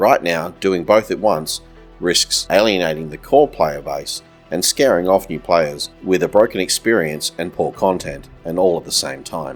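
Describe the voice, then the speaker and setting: A man with an Australian accent and a very deep, low pitch, ordinary pitch variation and big swings in loudness, with music in the background. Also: moderate pace. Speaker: gaming commentator. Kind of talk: video game commentary narration.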